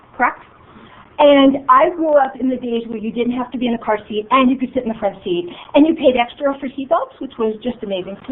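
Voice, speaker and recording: In an American accent, a woman speaks at a fairly quick pace with a high pitch and lively intonation, her tone animated. Noticeable background noise can be heard. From New York area / New Jersey. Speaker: business coach and facilitator. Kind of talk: workshop presentation. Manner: fast.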